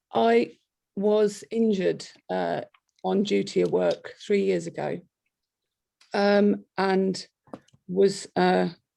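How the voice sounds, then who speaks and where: In a Kent accent, a woman talks at a very slow pace with long, frequent pauses. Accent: Kent accent, noticeable. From Kent, south-east England. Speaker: police officer. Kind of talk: webinar talk. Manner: halting, many fillers.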